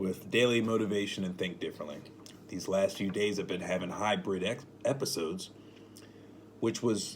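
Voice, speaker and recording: Moderate pace, fairly even intonation, and long, frequent pauses. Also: man, fairly low pitch for a man. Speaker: spiritual motivational vlogger. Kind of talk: casual monologue. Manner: rambling, self-correcting.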